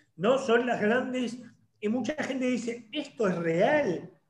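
A man's lively intonation carries audible room echo. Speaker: online show host. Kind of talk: interview. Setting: video call.

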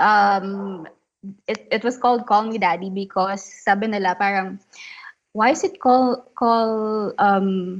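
Speaking at a very slow pace, a woman with a Filipino accent uses ordinary pitch variation. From Philippines. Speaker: podcaster. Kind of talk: casual chat. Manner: giggly.

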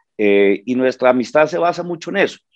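Medium-pitched male voice at a moderate pace, with very wide pitch swings. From Bogotá, Colombia. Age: 50s. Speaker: stand-up comedian. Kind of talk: casual interview.

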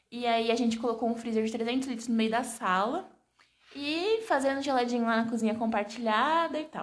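There is audible room echo as a woman speaks at a moderate pace. Her pitch is fairly high, with ordinary variation. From Brazil, Santos (São Paulo state). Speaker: podcast host, small business owner. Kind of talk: casual chat.

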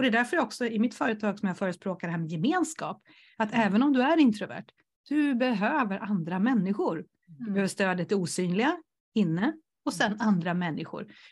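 A somewhat breathy voice moves at a fairly quick pace with very wide pitch swings over a quiet background. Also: woman, fairly high pitch for a woman. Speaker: entrepreneur and coach for introverts. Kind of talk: casual interview chat.

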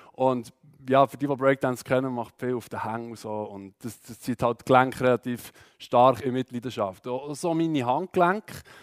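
A man with a Swiss accent at a moderate pace and ordinary pitch variation, dry and close with no echo, music in the background. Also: medium pitch for a man, big swings in loudness. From Switzerland, Aargau. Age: 20s. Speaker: church youth speaker. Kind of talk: testimony talk. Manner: halting, many fillers.

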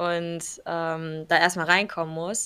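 A woman speaks in a bright, sharp tone. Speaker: podcast co-host. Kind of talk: casual chat.

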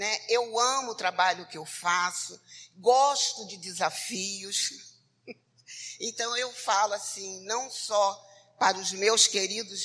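Speaking very slowly, a woman uses a medium pitch with ordinary variation, a bright, sharp tone and big swings in loudness. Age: 60s. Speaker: social worker. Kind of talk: testimony. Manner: halting.

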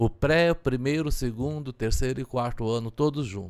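At a moderate pace and with ordinary pitch variation, a normal speaking voice comes through on a very clean recording with a silent background. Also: man. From Goiás, Brazil (Turvânia). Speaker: geography professor. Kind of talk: casual interview chat.

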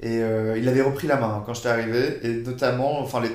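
Medium-pitched male voice, monotone and flat, at a moderate pace with audible room echo. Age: 20s. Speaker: former exchange student. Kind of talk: casual chat.

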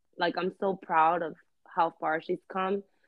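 Speaking with a New York accent, a woman keeps a medium pitch and a moderate pace. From New York, Queens (Elmhurst). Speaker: actress and rapper. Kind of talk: casual interview chat. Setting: online call.

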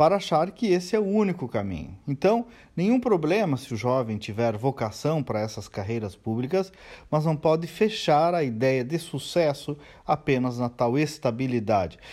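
This man's fairly high voice has a dark, mellow tone and very wide pitch swings, captured in a very clean recording with a silent background. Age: 40s. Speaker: commentator and business owner. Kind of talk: daily opinion commentary.

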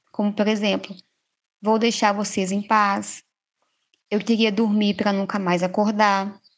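The background is quiet. A woman speaks at a fairly slow pace in a flat monotone. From Minas Gerais, Brazil. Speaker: psychologist. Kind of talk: podcast interview.

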